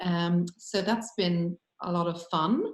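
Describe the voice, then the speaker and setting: A woman speaks with an Irish accent in a fairly low voice. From Ireland. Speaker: business owner. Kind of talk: panel discussion. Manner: halting, many fillers.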